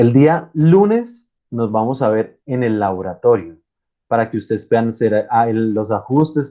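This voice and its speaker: Moderate pace and lively intonation in a man's plain, everyday voice. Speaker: university lecturer. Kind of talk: online lecture.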